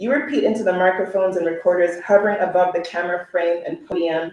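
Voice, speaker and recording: A woman with a medium-pitched voice speaks at a fairly quick pace, her intonation fairly even. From Oakland, California, Sierra Leonean family. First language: Sierra Leonean Creole (Krio). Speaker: poet and educator. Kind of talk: poetry reading. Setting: live event with audience.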